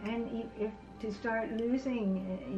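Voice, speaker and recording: A woman with ordinary pitch variation over music in the background. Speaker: vlogger. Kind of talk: casual vlog chat. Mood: relaxed, playful. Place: home room. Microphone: phone near.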